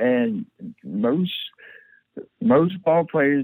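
A man with a fairly high voice and lively intonation, with a Southern US accent, in a dry, close recording with no echo. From US South, rural southern Mississippi. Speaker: paralyzed former baseball player. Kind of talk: interview, personal story.

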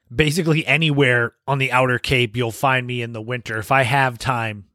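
A man speaks at a medium pitch with an American accent and a bright, sharp tone. The sound is dry and close with no echo, on a very clean recording with a silent background. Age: 40s. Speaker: podcast host. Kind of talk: solo podcast monologue. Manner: dry, sarcastic humor.

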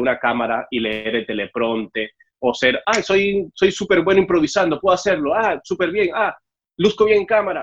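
A man talks with lively intonation at a moderate speed, using a normal speaking voice. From Mexico City (born in Cuba, left at seven). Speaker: TV host. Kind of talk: casual interview. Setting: remote video call.

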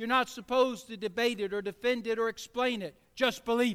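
A man with an extremely high pitch uses a raised, projected voice and a bright, sharp tone. He moves at a fairly quick pace with fairly even intonation. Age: 60s. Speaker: pastor. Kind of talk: sermon.

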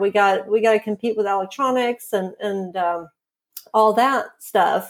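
Delivery moves at a fairly slow pace. The pitch varies in an ordinary way. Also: woman. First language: Swedish. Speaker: journalist and author. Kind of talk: interview. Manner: hesitant, many fillers.

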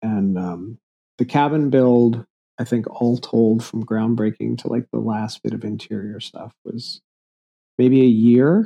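A man's unremarkable speaking voice at medium pitch, fairly slow in pace, with fairly even intonation. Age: 40s. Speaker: builder and designer. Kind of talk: casual interview.

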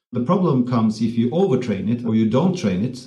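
The voice has a Norwegian accent, a dark, mellow tone and a somewhat breathy quality. Its pitch varies in an ordinary way, and room echo is audible. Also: man. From Norway. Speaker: tech company CEO. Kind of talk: podcast interview.

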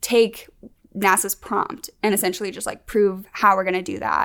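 The woman's voice is bright and sharp in tone, with vocal fry. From Birmingham, Alabama. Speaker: engineering student. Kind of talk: casual interview.

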